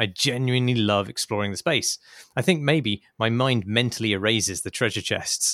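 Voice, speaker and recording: Recorded very cleanly against a silent background, a man with a British accent and a medium pitch talks at a fairly quick pace. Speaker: podcast host. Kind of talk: casual chat.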